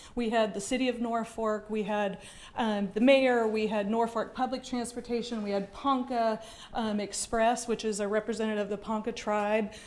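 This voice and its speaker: Moderate pace and fairly even intonation, set in audible room echo. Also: woman. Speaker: transportation project manager. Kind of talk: public presentation. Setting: council chambers with audience. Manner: loud.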